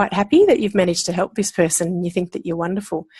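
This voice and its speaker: Somewhat breathy, a woman with an Australian accent speaks at a medium pitch with fairly even intonation. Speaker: osteopath and pain management lecturer. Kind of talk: interview.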